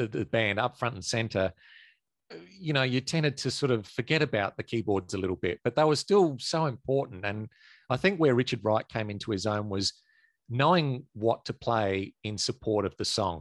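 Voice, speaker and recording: A man with an Australian accent speaks at medium pitch and a moderate pace, his intonation lively. The sound is dry and close with no echo, over a quiet background. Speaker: prog rock enthusiast, former band merch and label assistant. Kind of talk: casual discussion.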